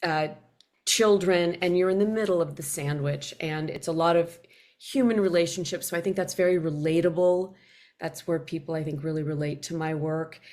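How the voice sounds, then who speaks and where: A woman talks at a moderate pace in a fairly low pitch, her intonation fairly even. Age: 60s. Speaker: novelist. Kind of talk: interview. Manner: halting.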